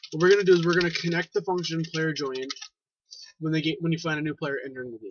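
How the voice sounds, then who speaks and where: The speaker is a man. His voice is fairly high. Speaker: Roblox scripting tutorial maker. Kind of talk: tutorial. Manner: fast; halting at times.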